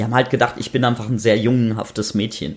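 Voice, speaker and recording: A man with a medium pitch talks using fairly even intonation. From North Rhine-Westphalia, rural. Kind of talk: casual chat. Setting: home kitchen.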